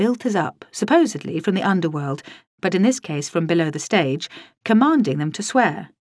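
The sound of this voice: Lively intonation from an unforced reading voice, against a quiet background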